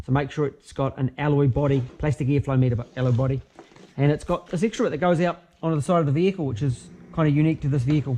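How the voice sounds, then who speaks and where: A man with a New Zealand accent speaks at a very fast pace with a fairly high pitch and ordinary pitch variation. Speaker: car mechanic. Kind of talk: tutorial. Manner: casual, halting with fillers.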